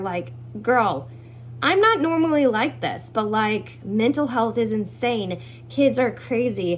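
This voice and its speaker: Amid noticeable background noise, a woman's voice swings very widely in pitch. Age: 20s. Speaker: house cleaner. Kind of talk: casual self-introduction video. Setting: at home. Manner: animated.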